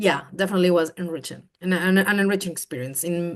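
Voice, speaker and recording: A woman with a fairly low pitch talks at a fairly quick pace with fairly even intonation. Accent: Spanish. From Colombia. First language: Spanish. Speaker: program alumna. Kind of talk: interview. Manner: halting.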